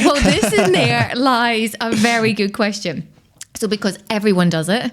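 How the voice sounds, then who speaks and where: A woman with a Scottish accent speaks at a moderate pace, with fairly high pitch and ordinary pitch variation. Noticeable background noise can be heard. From Scotland. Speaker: personal branding expert. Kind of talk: podcast interview.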